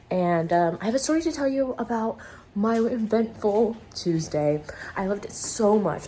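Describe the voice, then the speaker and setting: A woman with a medium pitch talks with lively intonation. There is noticeable background noise. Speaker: vlogger. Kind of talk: casual vlog monologue. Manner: animated.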